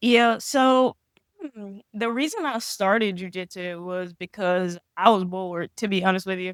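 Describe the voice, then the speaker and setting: A woman speaking at a fairly slow pace with a Southern US accent. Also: medium pitch for a woman, ordinary pitch variation, big swings in loudness, dry, close sound with no echo. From Mississippi. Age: 20s. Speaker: professional grappler. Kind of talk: casual interview.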